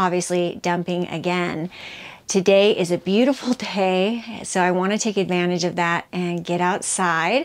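Speaking at a moderate pace, a woman delivers the lines. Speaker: vlogger. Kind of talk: casual vlog chat. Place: home room. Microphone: phone near.

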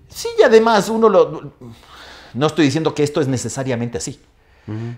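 A man talks very fast at a fairly high pitch against a quiet background. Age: 50s. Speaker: law professor. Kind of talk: casual interview. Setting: studio. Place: studio. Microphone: lapel.

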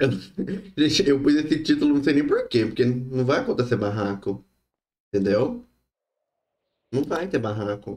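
A man speaks at a fairly slow pace with lively intonation and a somewhat breathy quality. Long pauses come often. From Brazil. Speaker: gaming streamer. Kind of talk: live gaming stream. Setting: online stream with voice chat. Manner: animated. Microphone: headset.

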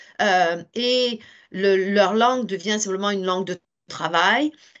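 A woman with a normal speaking voice talks at a fairly slow pace, with ordinary pitch variation. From France. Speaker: teacher. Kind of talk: webinar presentation. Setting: video call.

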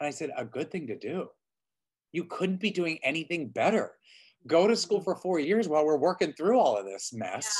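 A man speaks at a moderate pace with a high pitch and lively intonation. The background is quiet. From Pittsburgh; Pennsylvania. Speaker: Broadway actor and audition coach; Broadway actor, audition coach. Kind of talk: casual interview. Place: home room. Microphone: video call.

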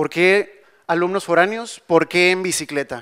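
Over a quiet background, a man talks at a moderate pace in a bright, sharp tone. His intonation stays fairly even. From Monterrey, Mexico; Mexico. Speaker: civil engineer; conference presenter. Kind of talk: conference talk; panel Q&A. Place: hall. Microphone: handheld.

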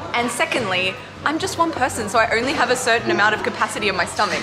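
A woman speaks very fast while music plays clearly behind her. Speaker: travel food vlogger. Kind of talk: casual vlog chat. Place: cafe. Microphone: phone near.

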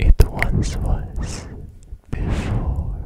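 A man's breathy whisper over noticeable background noise. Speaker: ASMR creator. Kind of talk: soft-spoken ASMR talk. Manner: breathy close-mic whisper. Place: home room. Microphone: studio mic.

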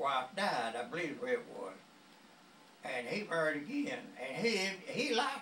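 Very slow man's voice in a rural Southern US accent, with very wide pitch swings, audible room echo and light background noise. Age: 80s+. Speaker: grandfather. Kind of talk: casual storytelling to family. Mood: amused, cheerful. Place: home room. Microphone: phone near.

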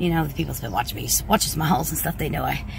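The sound is dry with no echo, with a little noise in the background. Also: woman. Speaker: vlogger. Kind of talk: casual vlog chat. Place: car. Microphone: phone near.

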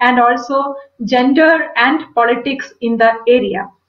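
A woman speaks at a high pitch against a quiet background, with audible room echo. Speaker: literature academic. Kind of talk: lecture. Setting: video call. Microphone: webcam.

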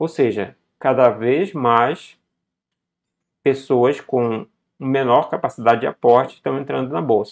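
Against a quiet background, a man at medium pitch talks at a fairly slow pace, leaving long, frequent pauses, with ordinary pitch variation. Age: 40s. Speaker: investment educator, company co-founder. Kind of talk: video tutorial on investing. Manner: casual, many fillers.

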